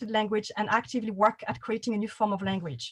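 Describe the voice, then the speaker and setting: A woman talks at a fairly quick pace in a French accent. Her voice is somewhat breathy and fairly high in pitch. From France. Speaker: panel host, writer. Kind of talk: panel discussion moderation.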